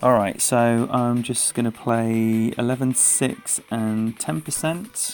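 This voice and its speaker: A man with an English accent at medium pitch, very slow in pace yet with hardly any pauses, ordinary pitch variation, and music in the background. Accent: proper English. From England. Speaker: game streamer. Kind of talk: live gaming stream commentary. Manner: animated.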